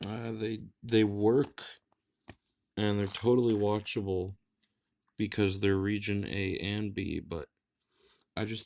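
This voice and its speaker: The speech moves at a fairly slow pace with fairly even intonation. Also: man. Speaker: anime collector vlogger. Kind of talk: casual haul video monologue. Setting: at home, filming late at night. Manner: monotone.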